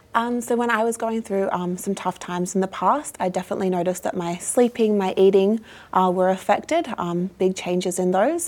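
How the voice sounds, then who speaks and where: A woman with an Australian accent speaks at a medium pitch with ordinary pitch variation and hardly any pauses. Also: fairly quick pace. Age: 20s. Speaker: youth mental health ambassador. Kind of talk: interview.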